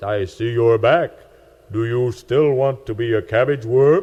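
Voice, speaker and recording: In a put-on character voice, a man speaks at a medium pitch. His pace is moderate and his intonation fairly even. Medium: read story. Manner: calm, solemn.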